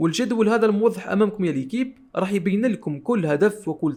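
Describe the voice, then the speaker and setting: A man speaks with an Algerian accent. His pitch is high and his intonation lively. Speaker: tech tutorial youtuber. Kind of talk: tutorial.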